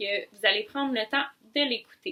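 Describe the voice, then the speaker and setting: A woman with a fairly high pitch, a moderate pace and a normal speaking voice. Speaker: speech-language pathologist. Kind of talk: expert advice explanation.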